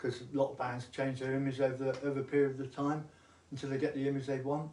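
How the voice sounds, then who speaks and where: A man speaks very fast with an English accent, his tone dark and mellow. His intonation stays monotone and flat. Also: medium pitch for a man. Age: 70s. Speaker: musician. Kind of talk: casual chat.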